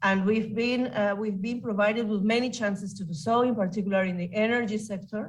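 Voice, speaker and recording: Somewhat breathy speech at a fairly quick pace with fairly even intonation. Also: woman, medium pitch for a woman. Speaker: competition authority president. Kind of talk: conference panel talk. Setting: remote video link. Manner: halting.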